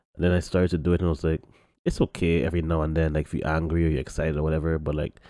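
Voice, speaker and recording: Over a very clean recording with a silent background, a man with a very deep, low pitch talks at a very fast pace in a monotone, flat intonation. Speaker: podcast host. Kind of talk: casual chat.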